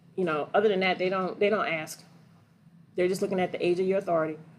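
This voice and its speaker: The woman sounds animated, with ordinary pitch variation. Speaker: trucking and gig work educator. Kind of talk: livestream Q&A. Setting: livestream. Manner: fast.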